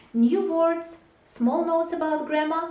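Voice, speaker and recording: There is audible room echo around this voice. A woman speaks at a fairly slow pace. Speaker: English teacher. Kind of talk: tutorial. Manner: clear.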